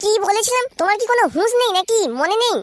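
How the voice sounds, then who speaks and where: In a cartoonish character voice, a woman talks at a fairly quick pace and an extremely high pitch with ordinary pitch variation, very even loudness and a dry, close sound with no echo. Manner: shrill, scolding.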